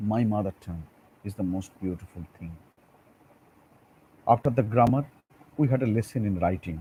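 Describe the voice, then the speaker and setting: A man with a fairly low, somewhat breathy voice and a dark, mellow tone speaks at a moderate pace with ordinary pitch variation and long, frequent pauses. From India, Bengal. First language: Bengali. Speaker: school teacher. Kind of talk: lecture. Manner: halting.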